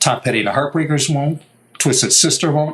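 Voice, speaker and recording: A man's fairly high voice, in an American accent, comes through over clear background noise. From New York. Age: 70s. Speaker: guitar maker. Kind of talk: interview. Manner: animated.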